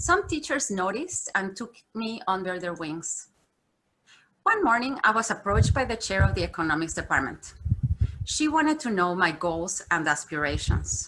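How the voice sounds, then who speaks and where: In a Mexican accent, a woman talks at a moderate pace and medium pitch, her voice making very wide pitch swings. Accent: pronounced Mexican Spanish. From Mexico. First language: Spanish. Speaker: corporate communications executive. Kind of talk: keynote speech. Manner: formal.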